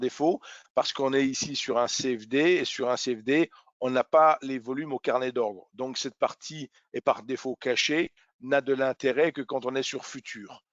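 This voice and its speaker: Here a man speaks at a very slow pace with a medium pitch. His intonation is fairly even. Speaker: trading educator. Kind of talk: webinar tutorial. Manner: hesitant with fillers.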